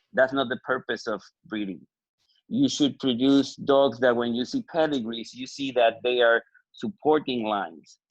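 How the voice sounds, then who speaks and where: With a Puerto Rican accent, a man talks at a moderate pace with ordinary pitch variation. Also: medium pitch for a man. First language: Spanish. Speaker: dog breeder. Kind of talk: panel discussion.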